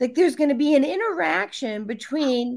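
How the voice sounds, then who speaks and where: A woman speaks with an American accent. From US Midwest, Illinois. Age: 50s. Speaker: radio show host, nutrition. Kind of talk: casual interview chat.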